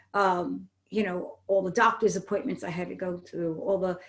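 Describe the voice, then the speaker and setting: Vocal fry runs through a woman's speech. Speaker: actress and audiobook narrator. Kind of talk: interview. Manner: loud.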